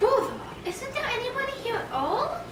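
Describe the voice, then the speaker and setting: Over loud background noise with a slight echo, a put-on character voice with a gentle tone moves at a fairly quick pace. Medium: read story. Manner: gentle, muddled.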